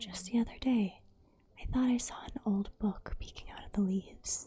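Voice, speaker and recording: The speaker whispers at a fairly slow pace. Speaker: ASMR creator. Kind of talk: reading game dialogue aloud. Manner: soft-spoken, whispered.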